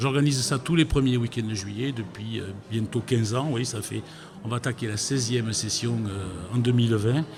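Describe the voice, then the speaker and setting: A man with a southwestern French accent talks at a moderate pace in a medium pitch with ordinary pitch variation, over noticeable background noise. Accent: southwest French. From southwest France. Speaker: guitar festival organizer. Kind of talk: radio interview. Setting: radio studio.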